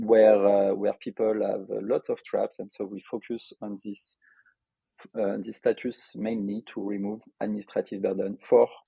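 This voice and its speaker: A man speaks at a moderate pace with a French accent, his loudness swinging widely. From France, Lyon. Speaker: software developer and entrepreneur. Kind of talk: podcast interview. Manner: hesitant, many filler sounds.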